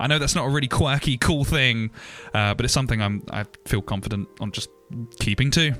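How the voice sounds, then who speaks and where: This man's medium-pitched voice comes through with music in the background. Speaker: 3D artist and YouTuber. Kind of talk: casual talk over timelapse. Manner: slurred, stumbling speech; off the cuff, rambling.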